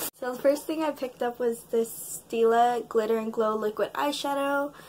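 Noticeable background noise sits behind a woman speaking at a high pitch with ordinary pitch variation. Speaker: beauty vlogger. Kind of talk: casual haul talk to camera.

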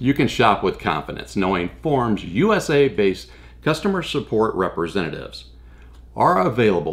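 Vocal fry runs through a man's voice at a moderate pace. His pitch swings very widely. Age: old. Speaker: pitchman. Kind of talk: product review pitch to camera. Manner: upbeat, persuasive. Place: home room.

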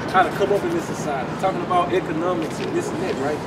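Loud background noise sits behind a man's voice. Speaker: street preacher. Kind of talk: sermon. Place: street. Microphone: camera far.

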